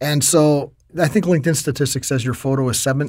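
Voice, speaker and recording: Speaking very quickly, a man's voice sits at a medium pitch. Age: 50s. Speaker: LinkedIn trainer and author. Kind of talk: interview.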